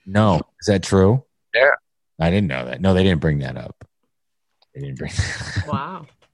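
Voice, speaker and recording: Recorded dry and close with no echo, a man with a very deep, low pitch speaks at a moderate pace, his pitch swinging very widely, his loudness shifting greatly and his pauses long and frequent. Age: 40s. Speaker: podcast host. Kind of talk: casual chat. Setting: studio.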